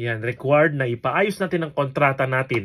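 On a very clean recording with a silent background, a man talks at a moderate pace in a somewhat breathy voice. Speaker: vlogger for overseas workers. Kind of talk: tutorial. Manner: halting, many fillers.

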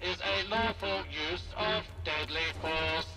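Loud background noise surrounds a man doing a put-on character voice at a fairly slow pace. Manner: distorted, mechanical.

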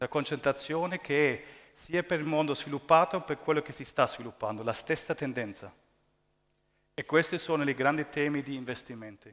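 Against a quiet background, a man with a fairly high pitch and ordinary pitch variation talks at a fairly quick pace, with long, frequent pauses. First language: not Italian (speaking Italian). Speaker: real estate investment executive. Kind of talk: conference presentation. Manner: halting. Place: hall. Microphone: headset.

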